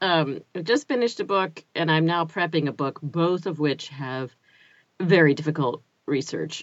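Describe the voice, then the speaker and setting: An unremarkable speaking voice from a woman, fairly low in pitch, with ordinary pitch variation and a moderate pace. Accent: American. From US South, North Carolina (Chapel Hill). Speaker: audiobook narrator and narration coach. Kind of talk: casual interview chat.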